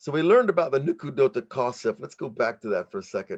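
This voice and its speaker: Against a quiet background, a man with an American accent speaks in an animated tone. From United States. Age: 40s. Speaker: rabbi and meditation teacher. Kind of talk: lecture.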